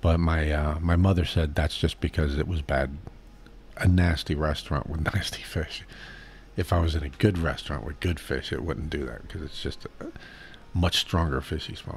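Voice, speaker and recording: A man speaks in a very deep, low voice with vocal fry. He keeps a moderate pace and fairly even intonation. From Boston, US. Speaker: streamer. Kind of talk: live stream Q&A chat. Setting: live stream reading chat. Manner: casual, halting.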